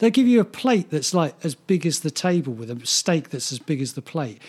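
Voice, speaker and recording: At a moderate pace and with an English accent, the voice swings very widely in pitch, and the sound is dry and close with no echo. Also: man. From England. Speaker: podcast co-host. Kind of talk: casual chat.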